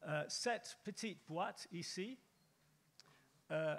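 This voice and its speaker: With an English accent and a high-pitched voice, a man speaks very slowly with ordinary pitch variation on a very clean recording with a silent background. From Britain. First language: English (speaking French). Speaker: panelist. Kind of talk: panel talk. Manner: halting.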